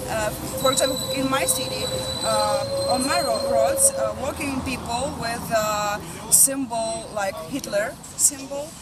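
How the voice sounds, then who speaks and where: A woman talks at a fairly slow pace. Audible room echo and noticeable background noise accompany her voice. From Ukraine, Kiev. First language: Ukrainian or Russian. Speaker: protester. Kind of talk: street interview. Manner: halting.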